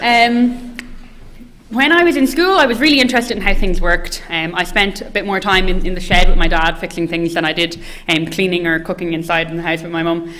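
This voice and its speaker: The voice has a bright, sharp tone and carries an audible room echo. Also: woman, medium pitch for a woman, lively intonation, fairly quick pace. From west of Ireland, County Mayo. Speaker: engineering postgraduate student. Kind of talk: presentation to prospective students. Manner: hesitant, many fillers.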